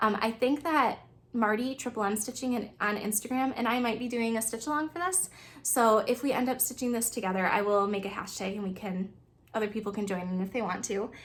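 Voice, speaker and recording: Over noticeable background noise, ordinary pitch variation marks speech delivered at a fairly quick pace. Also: woman, fairly high pitch for a woman. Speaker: cross stitch video creator. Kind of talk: casual chat. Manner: fast.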